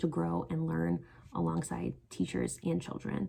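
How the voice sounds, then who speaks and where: Here a woman is speaking. Her pace is moderate. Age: 20s. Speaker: teacher candidate. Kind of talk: job application video talk to camera.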